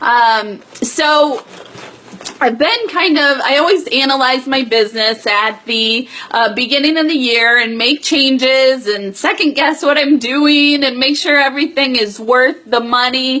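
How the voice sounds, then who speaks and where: Noticeable background noise sits behind a woman with a high pitch. She uses a raised, projected voice at a fairly slow pace. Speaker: direct sales team leader. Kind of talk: live stream business update. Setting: Facebook Live video stream. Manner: many filler words.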